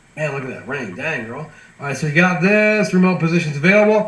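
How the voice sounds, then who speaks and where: Over noticeable background noise, a man with an American accent speaks in an animated tone. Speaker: sales team trainer. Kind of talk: online training call. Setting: video call. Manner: fast; animated, casual.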